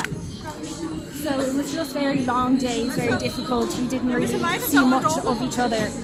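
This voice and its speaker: A high-pitched woman in a Dublin accent with ordinary pitch variation, audible room echo and music in the background. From Ireland, Dublin (Balbriggan area). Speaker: veterinary student and club chairperson. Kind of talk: interview. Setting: outdoors.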